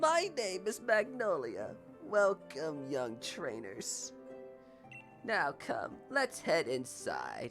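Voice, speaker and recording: Over clear background music, a put-on character voice talks at a very slow pace. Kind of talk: kindly, welcoming.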